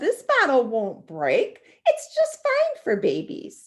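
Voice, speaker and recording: A woman uses a put-on character voice with extremely high pitch. She speaks at a fairly slow pace. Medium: read story.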